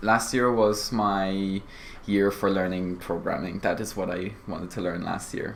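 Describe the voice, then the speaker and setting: A man has an unremarkable speaking voice with a fairly low pitch. He keeps a moderate pace and ordinary pitch variation. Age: young. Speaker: cybersecurity apprentice. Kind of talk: interview.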